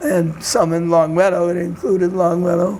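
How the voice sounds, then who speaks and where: Speaking in a Boston accent, a man delivers fairly even intonation at a high pitch over noticeable background noise. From Boston, Massachusetts (Dorchester). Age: 90s. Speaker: community elder and discussion group facilitator. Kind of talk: interview. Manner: halting.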